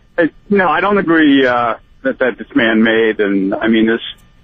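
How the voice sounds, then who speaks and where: A man's voice at a moderate pace with lively intonation. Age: 60s. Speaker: caller. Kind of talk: call-in radio talk. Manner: halting, repetitive.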